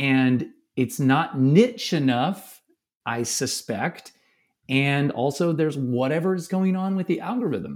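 With an American accent, a man speaks at a fairly slow pace and a fairly high pitch, with lively intonation. It is a plain, everyday voice. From US Midwest, St. Louis. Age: 40s. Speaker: commercial photographer. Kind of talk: casual chat. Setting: video call.

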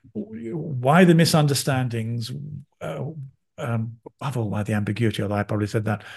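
Over a quiet background, a man with a somewhat breathy voice talks at a medium pitch and fairly quick pace, with lively intonation and long, frequent pauses. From London, England. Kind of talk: interview conversation.

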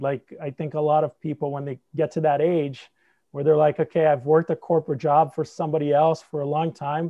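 The speaker has a slight non-native accent. The intonation stays fairly even. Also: man. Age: 40s. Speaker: startup founder and angel investor.

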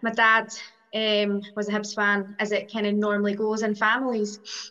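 Someone speaks at a moderate pace with an Edinburgh accent. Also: woman. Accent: Scottish (Edinburgh). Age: 40s. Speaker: football fan. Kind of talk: interview.

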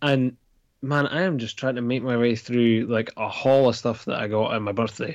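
A man with a Dundee accent, medium-pitched and fairly even in intonation, at a moderate pace over a quiet background. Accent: Scottish (Dundee). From Scotland. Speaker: comics creator. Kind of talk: casual chat.

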